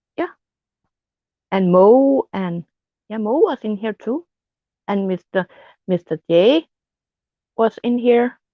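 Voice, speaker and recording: Pausing long and often, a woman with a Danish accent speaks at a very slow pace in a fairly high pitch with lively intonation. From Denmark. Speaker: live streamer. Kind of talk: casual chat. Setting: live stream chat. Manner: halting, repeats words.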